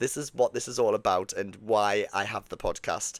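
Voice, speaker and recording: In a dry, close sound with no echo and a very clean recording with a silent background, a man with a strong Geordie accent talks at a fairly slow pace. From northern England, Newcastle. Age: 30s. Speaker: podcast host, cruise ship performer. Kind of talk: solo podcast monologue. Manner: casual, many fillers.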